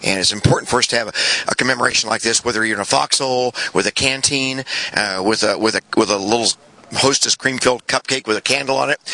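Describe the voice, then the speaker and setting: A man at a medium pitch speaks very fast with ordinary pitch variation, the sound dry and close with no echo but with noticeable background noise. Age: 60s. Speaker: retired Marine officer. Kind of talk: interview. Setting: outdoors. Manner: halting.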